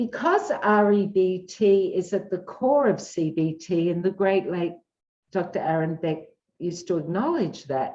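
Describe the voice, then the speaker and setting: A woman's medium-pitched voice in an Australian accent, at a fairly slow pace with ordinary pitch variation. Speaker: psychologist. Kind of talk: interview. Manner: animated.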